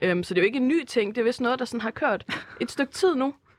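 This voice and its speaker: A woman speaks at a fairly quick pace with lively intonation, recorded dry and close with no echo. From Denmark, Herning (Jutland). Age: 20s. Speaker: university student. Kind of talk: casual chat. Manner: hesitant, many fillers.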